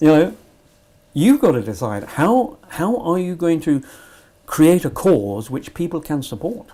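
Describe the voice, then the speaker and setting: With a British accent, a man speaks at a fairly slow pace in a fairly high pitch. His tone is dark and mellow, and his pitch swings very widely. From Britain. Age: 80s+. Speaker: Tibet supporter. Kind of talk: interview. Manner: halting.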